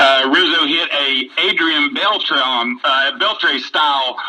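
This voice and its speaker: Noticeable background noise runs under the recording. A man speaks with an American accent. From West Virginia. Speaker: baseball fan caller. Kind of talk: casual sports chat.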